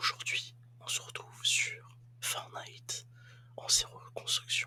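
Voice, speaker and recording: Whispering, a man speaks at a very slow pace. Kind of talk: ASMR gaming commentary. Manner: whispered; casual, hesitant.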